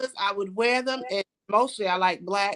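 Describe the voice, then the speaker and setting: The voice carries an American accent. Its pitch varies in an ordinary way. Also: woman. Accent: Brooklyn accent, comes out at times. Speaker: salon owner and cosmetologist. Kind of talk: casual interview chat.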